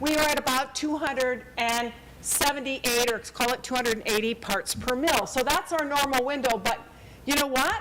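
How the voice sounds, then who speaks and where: Noticeable background noise sits behind a woman with a high pitch. She talks at a moderate pace with ordinary pitch variation. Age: 60s. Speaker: climate science presenter. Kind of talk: public talk with slides. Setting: public forum.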